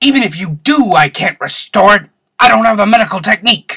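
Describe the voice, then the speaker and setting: In a put-on character voice, a man growls with a high pitch and a raised, projected voice, using lively intonation at a fairly quick pace, recorded with a dry, close sound and no echo. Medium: fan dub. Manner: exasperated, emotional.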